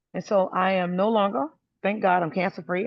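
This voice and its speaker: The speaker is a woman with an American accent. Her intonation is fairly even throughout. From US South, South Carolina. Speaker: testimonial speaker. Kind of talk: testimony. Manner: soft-spoken, talking low.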